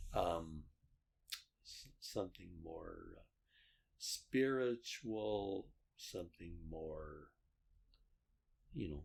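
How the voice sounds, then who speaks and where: This man's very deep, low voice moves at a very slow pace with lively intonation and long, frequent pauses. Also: big swings in loudness. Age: 70s. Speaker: host's father. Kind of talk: casual chat. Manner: halting.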